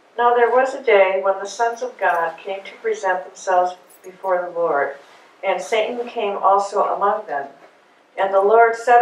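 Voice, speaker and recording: A woman at a moderate pace with ordinary pitch variation, big swings in loudness and audible room echo. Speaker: class participant; Bible class teacher. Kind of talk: group discussion and scripture reading. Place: meeting room.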